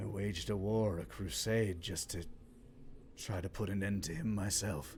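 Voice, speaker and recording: In a put-on character voice, a man speaks at a fairly low pitch and a moderate pace against clear background noise. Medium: actual play. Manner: terse, dry.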